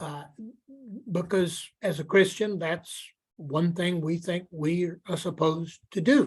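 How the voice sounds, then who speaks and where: Speaking at a very slow pace, a man uses a high pitch and fairly even intonation. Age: 70s. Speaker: pastor and author. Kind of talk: guest talk in a webinar.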